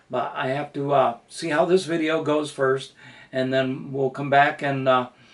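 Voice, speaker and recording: Over noticeable background noise, a man speaks at a fairly high pitch and a fairly slow pace with monotone, flat intonation. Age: 70s. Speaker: hobbyist model car builder and channel owner. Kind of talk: casual first-video introduction. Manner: hesitant, many fillers.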